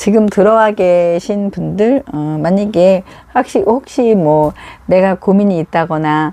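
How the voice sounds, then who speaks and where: Speaking very slowly, a woman uses a medium pitch with ordinary variation and a dark, mellow tone. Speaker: live streamer offering advice. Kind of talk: casual live stream chat. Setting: at home. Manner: halting, many fillers.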